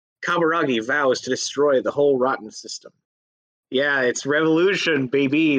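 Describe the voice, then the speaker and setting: A normal speaking voice from a man, fairly high in pitch, with ordinary pitch variation and a fairly quick pace. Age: 20s. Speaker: podcast host. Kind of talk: casual chat.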